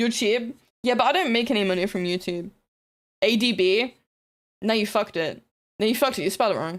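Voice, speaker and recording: A woman with a fairly high voice talks very fast in an animated tone, her pitch varying in an ordinary way, yet she leaves long, frequent pauses. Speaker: streamer. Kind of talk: casual livestream chat.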